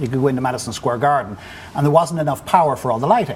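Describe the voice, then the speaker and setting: A man speaks at a medium pitch with an Irish accent. Noticeable background noise sits behind him. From Ireland. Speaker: business executive. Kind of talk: interview. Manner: halting.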